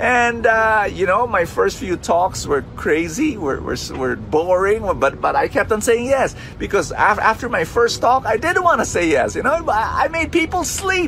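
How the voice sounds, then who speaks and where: Over music in the background, a man talks at a fairly slow pace in an extremely high pitch, his pitch swinging very widely with hardly any pauses. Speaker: preacher. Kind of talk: sermon.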